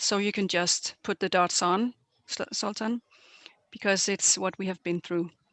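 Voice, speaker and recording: A woman with an ordinary speaking voice keeps her intonation fairly even and her pace moderate. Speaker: weightlifting technical official presenter. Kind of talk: webinar presentation.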